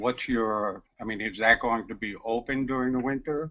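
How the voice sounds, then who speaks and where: With a New York accent, a man talks at a fairly slow pace and keeps fairly even intonation. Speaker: audience member. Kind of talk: audience question.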